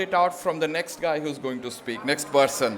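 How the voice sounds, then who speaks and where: A man speaks with an Indian accent at a moderate pace. His pitch varies normally, and background noise is noticeable. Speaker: panel moderator. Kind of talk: moderating a panel.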